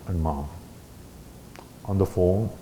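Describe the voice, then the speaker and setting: With audible room echo around him, a man speaks at a moderate pace. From India. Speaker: ham radio operator, guest speaker. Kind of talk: talk at a club meeting. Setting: meeting room with audience. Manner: halting.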